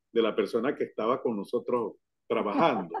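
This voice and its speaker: A man speaks at a moderate pace. His pitch sits in the middle range. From Caracas, Venezuela. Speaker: university professor; radio announcer. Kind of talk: interview answer.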